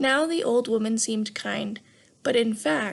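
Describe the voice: Ordinary pitch variation runs through this plain reading aloud.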